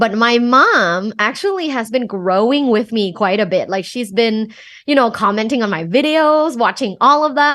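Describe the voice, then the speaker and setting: Her intonation is lively and her pace moderate, with a bright, sharp tone. The woman's pitch is fairly high, and the background is quiet. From Thailand. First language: Thai. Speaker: sex coach and professor. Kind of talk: podcast interview.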